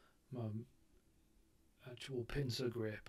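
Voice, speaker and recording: A man's somewhat breathy, dark, mellow voice in a British accent, medium in pitch, flat and monotone at a fairly slow pace. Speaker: vlogger recovering from brain surgery. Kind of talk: casual vlog talk to camera. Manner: halting, many ums and restarts.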